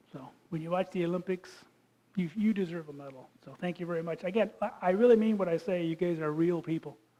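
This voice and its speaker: A man with a Michigan accent talks at a very fast pace in a high voice with a dark, mellow tone. His pitch moves in an ordinary way while his loudness swings widely. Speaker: geologist and creation science speaker. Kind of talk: lecture. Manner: casual and joking.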